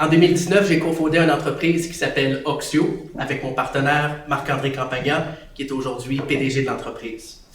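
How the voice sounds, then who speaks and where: Over noticeable background noise and audible room echo, a man talks at a very fast pace with fairly high pitch and fairly even intonation. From Quebec City. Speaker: tech company co-founder. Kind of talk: conference speech.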